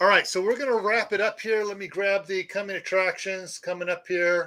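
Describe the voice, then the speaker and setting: A raised, projected voice with a bright, sharp tone comes through in an American accent. The recording is very clean, with a silent background. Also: man. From US Midwest. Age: 60s. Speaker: prepping channel host. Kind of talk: live stream chat.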